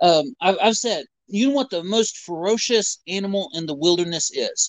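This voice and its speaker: With lively intonation, a man delivers his words at a moderate pace. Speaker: chat viewer. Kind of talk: casual chat.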